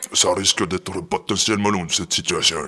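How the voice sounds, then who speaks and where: A man puts on a gruff character voice. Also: fairly low pitch for a man, moderate pace. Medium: audio drama.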